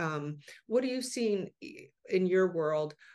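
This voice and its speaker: Against a quiet background, a woman with a normal speaking voice talks at a medium pitch with lively intonation. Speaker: podcast host, cannabis marketer. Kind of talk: casual interview.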